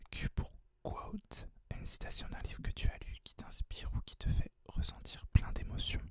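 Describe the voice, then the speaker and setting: A man whispering in a relaxed tone at a moderate pace, with big swings in loudness. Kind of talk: ASMR whispered book tag talk to camera. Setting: close microphone, home recording. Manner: whispered, soft-spoken, relaxed.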